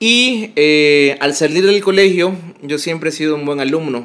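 A man talks at a fairly high pitch. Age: 20s. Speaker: bartender. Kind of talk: casual interview. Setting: in person, recorded together.

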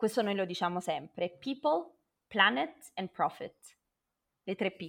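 Very wide pitch swings, a fairly slow pace, and long, frequent pauses. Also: woman, medium pitch for a woman. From southern Italy, Naples. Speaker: renewable energy professional. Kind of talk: interview.

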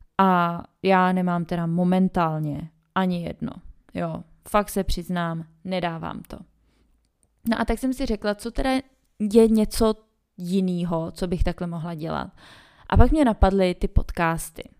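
Recorded very cleanly against a silent background, a woman talks at a medium pitch and fairly slow pace with long, frequent pauses, ordinary pitch variation, and big swings in loudness. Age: 20s. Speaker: podcast host, mother. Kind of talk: casual solo monologue.

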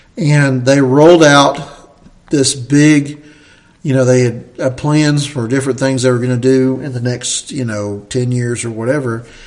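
Someone speaks in an Appalachian accent at a fairly slow pace with fairly even intonation. Noticeable background noise is present. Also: man, medium pitch for a man. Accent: Southern Appalachian American. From US South, Southern Appalachia. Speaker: podcast host, church leader. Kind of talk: casual chat.

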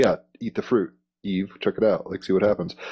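Against a quiet background, a dark, mellow tone carries a monotone, flat intonation. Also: man. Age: 30s. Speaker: podcast co-host. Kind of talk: casual chat. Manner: loose, rambling with fillers.

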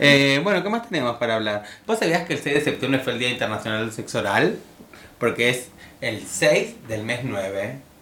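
Audible room echo fills the space. A man with a medium pitch talks at a moderate pace with lively intonation. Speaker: radio host. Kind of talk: casual chat.

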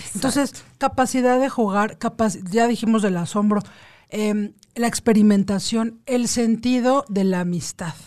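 A woman with a normal speaking voice and a fairly high pitch, at a fairly slow pace with ordinary pitch variation, against a quiet background. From Mexico City. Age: 40s. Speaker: lawyer and meditation workshop leader. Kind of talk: casual radio interview.

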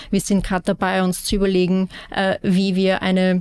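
This is a woman speaking at a moderate pace. Her pitch sits in the medium range. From Austria, Vienna. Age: 30s. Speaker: real estate sustainability manager. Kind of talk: interview.

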